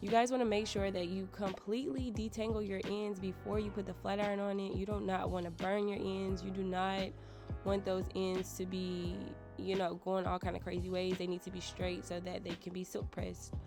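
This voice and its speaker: With music in the background, a woman talks at a fairly quick pace with an American accent. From United States. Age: 20s. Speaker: beauty vlogger. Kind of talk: hair tutorial talk to camera. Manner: casual, chatty.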